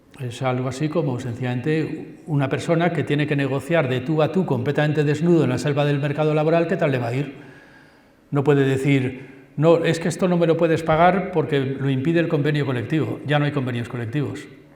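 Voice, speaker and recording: A man's fairly high voice at a fairly quick pace, with audible room echo. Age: 60s. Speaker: university professor. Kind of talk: public lecture. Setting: school assembly hall with audience. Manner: animated.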